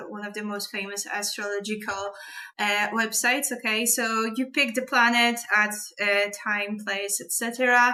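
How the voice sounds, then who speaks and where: A woman speaks with a Polish accent. Her pace is moderate. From Poland. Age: 30s. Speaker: astrology and tarot vlogger. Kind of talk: casual monologue. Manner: halting.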